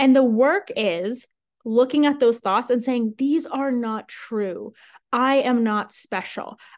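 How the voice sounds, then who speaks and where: Talking at a very slow pace, a woman with an American accent uses a high pitch with ordinary pitch variation. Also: quiet background. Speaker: podcast host and sales coach. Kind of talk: solo podcast monologue, casual and promotional. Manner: animated, conversational.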